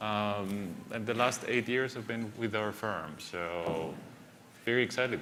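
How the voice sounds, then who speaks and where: With a Greek accent and a fairly low pitch, a man speaks amid audible room echo and noticeable background noise. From Greece and the UK. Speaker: venture capitalist. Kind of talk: panel discussion.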